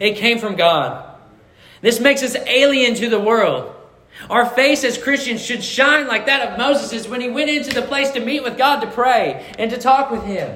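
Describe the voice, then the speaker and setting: A man's raised, projected voice at an extremely high pitch, with fairly even intonation, audible room echo, and noticeable background noise. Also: moderate pace. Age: 20s. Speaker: pastor. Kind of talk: sermon.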